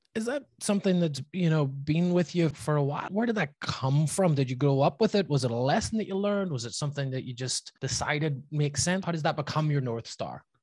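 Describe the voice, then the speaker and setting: A man speaks at a fairly quick clip with hardly any pauses, his fairly high voice somewhat breathy and his intonation lively. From Northern Ireland, Belfast. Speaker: podcast host. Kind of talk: interview.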